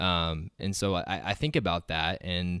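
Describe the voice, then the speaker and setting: A man with an American accent and a very deep, low pitch, on a very clean recording with a silent background. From Nebraska, US Midwest. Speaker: entrepreneur. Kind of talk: casual interview. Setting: studio, in person.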